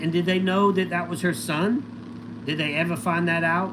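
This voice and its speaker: Loud and animated, a man with a high voice talks at a moderate pace amid audible room echo. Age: 50s. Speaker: livestreamer, former reality TV contestant. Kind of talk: casual livestream chat answering viewer questions. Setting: solo livestream.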